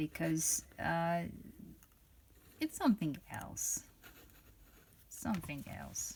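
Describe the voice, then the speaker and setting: Long, frequent pauses from a woman talking at a very slow speed. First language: not English. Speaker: fountain pen reviewer. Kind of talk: product review. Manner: halting, many fillers and restarts.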